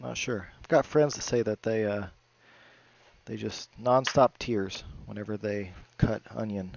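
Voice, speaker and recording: The speech moves at a fairly slow pace with long, frequent pauses. Loudness swings widely while pitch varies in an ordinary way. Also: man, fairly low pitch for a man. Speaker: home cooking video host. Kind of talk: cooking tutorial.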